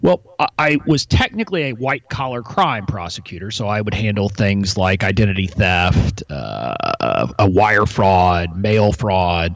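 A man with an American accent speaks at a fairly slow pace, barely pausing. His pitch is fairly low, with ordinary variation. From US South, Texas (McAllen, near Mexican border). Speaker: intellectual property lawyer and entrepreneur. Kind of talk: interview conversation. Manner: hesitant with fillers and repetitions.

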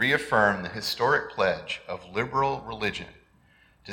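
In an American accent, a man talks at a moderate pace with ordinary pitch variation, and room echo is audible. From United States. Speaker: lay worship leader. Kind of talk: sermon.

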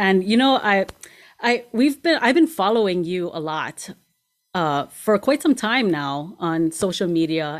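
A woman's animated, enthusiastic delivery, very wide pitch swings and a fairly slow pace. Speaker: podcast host. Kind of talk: casual interview chat.

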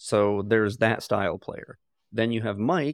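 On a very clean recording with a silent background, a man talks at a moderate pace and medium pitch, the sound dry and close with no echo. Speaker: podcast host and game master. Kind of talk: casual chat. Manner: rambling, talkative.

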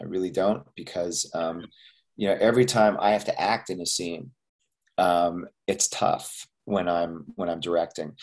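With a Canadian accent and a very deep, low pitch, this man talks at a fairly slow pace with ordinary pitch variation. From Canada, Montreal. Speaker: actor and filmmaker. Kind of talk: interview.

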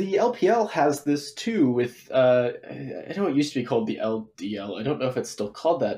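A normal speaking voice with an American accent, lively intonation and a moderate pace. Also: man. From Texas, Dallas. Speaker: esports coach, caller. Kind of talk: call-in opinion.

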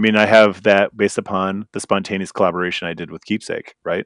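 A man with a normal speaking voice and an American accent, fairly low in pitch with fairly even intonation, in a dry, close sound with no echo and a quiet background. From eastern Wisconsin, Green Bay. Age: 40s. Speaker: brewery owner and brewer. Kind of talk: interview. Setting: remote call.

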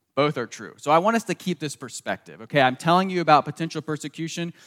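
A man talks with a slight Southern US accent and ordinary pitch variation. The sound is dry and close, with no echo. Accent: slight Southern US, people remark on it. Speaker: pastor. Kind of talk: sermon.

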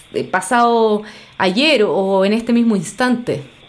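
A woman with a Chilean accent speaks at a very slow pace with ordinary pitch variation. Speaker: podcast host, psychologist and art therapist. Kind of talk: casual interview chat.

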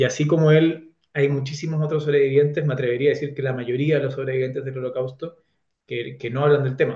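A man's somewhat breathy, fairly high voice at a very fast pace, with monotone, flat intonation. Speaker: author. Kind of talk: interview.

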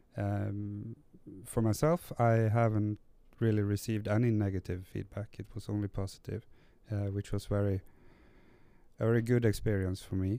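In a Norwegian accent, a man with a fairly low pitch and a dark, mellow tone speaks at a moderate pace with fairly even intonation and long, frequent pauses. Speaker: recovering gambling addict, support worker. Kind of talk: interview. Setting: recording on location in Tromsø. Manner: halting.

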